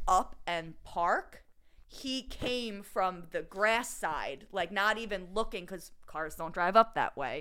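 Speaking at a very slow pace, this voice has a bright, sharp tone and a Philadelphia-area accent. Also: woman. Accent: Delco Philadelphia-area. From Delaware County, Pennsylvania. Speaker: podcast host. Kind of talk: casual banter.

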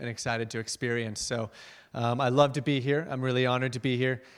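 This man has a plain, everyday voice at a medium pitch, and his intonation stays fairly even. The recording is very clean, with a silent background. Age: 20s. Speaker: missionary and guest speaker. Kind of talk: sermon-style testimony. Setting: church.

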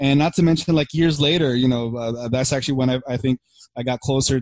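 A man has an unremarkable speaking voice at medium pitch and a fairly quick pace. The sound is dry and close, with no echo. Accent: American. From Philippines, then Burbank, California. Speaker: podcast co-host. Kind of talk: casual chat.

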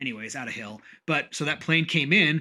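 Speaking at a fairly quick pace, a man uses a fairly high pitch. His tone is animated, bright and sharp. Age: 40s. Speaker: podcast host and business owner. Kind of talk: casual chat.

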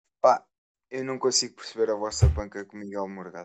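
Fairly even intonation marks a normal speaking voice. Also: man. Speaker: podcast co-host. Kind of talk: casual chat.

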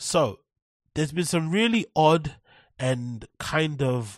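A man with a London accent speaks at a very slow pace. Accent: British English, London. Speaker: podcast host. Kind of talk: casual solo commentary. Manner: animated.

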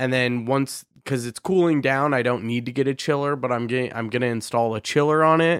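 A plain, everyday voice with an American accent moves at a fairly quick pace with hardly any pauses and fairly even intonation. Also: man, medium pitch for a man. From Idaho, US. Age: 20s. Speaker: podcast host, music producer. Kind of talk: casual interview chat.

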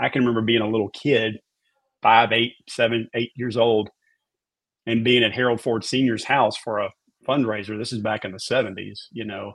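This man talks at a moderate pace and a medium pitch, his intonation monotone and flat. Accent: Memphis. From US South, Memphis, Tennessee. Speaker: former TV meteorologist and author. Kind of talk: casual interview.

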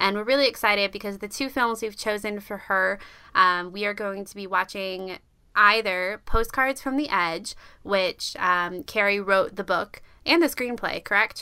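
A bright, sharp voice with an American accent moves at a moderate pace with ordinary pitch variation and big swings in loudness. The recording is very clean, the background silent. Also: woman, medium pitch for a woman. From US South (Georgia). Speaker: podcast co-host. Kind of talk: casual chat.

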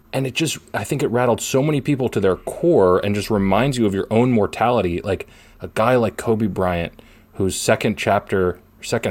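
Recorded very cleanly against a silent background, a man with an American accent uses a normal speaking voice at a fairly low pitch, moderate pace and ordinary pitch variation. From Philadelphia area, US. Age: 20s. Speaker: sports writer and podcast co-host. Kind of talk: casual sports chat.

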